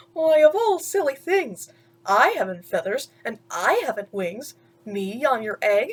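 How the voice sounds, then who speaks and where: The pace is fairly slow and the pitch swings very widely in this put-on character voice. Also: woman, high pitch for a woman. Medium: read story. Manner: earnest.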